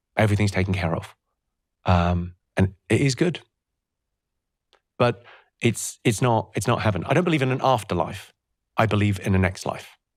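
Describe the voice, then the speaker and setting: With a British accent and a fairly low pitch, a man moves at a fairly quick pace and uses ordinary pitch variation. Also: very clean recording, silent background. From Britain. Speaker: comedian. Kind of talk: interview answer.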